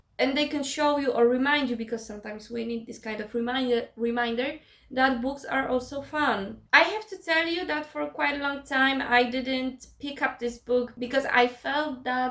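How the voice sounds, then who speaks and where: Speaking with a non-native accent, a woman talks at a fairly slow pace with a high pitch and ordinary pitch variation. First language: not English. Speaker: book vlogger. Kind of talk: casual vlog talk. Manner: halting.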